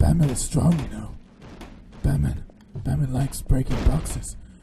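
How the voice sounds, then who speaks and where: Putting on a character voice, a man growls in a very deep, low, gravelly register at a fairly slow pace, his pitch swinging very widely. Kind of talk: comic overacting. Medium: game stream. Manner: pompous, self-aggrandizing, speaks of himself in third person.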